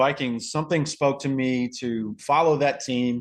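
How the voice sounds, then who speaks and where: A man with a Southern US accent speaks at a medium pitch, his voice rising and falling in an ordinary way. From US South, North Carolina. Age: 30s. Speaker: podcast guest, football fan. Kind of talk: casual chat.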